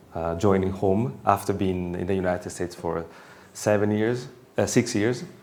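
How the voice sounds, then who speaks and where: Amid audible room echo, a man in an Italian accent speaks at a moderate pace with a fairly low pitch and fairly even intonation. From Italy. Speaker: professor. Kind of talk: lecture. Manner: halting.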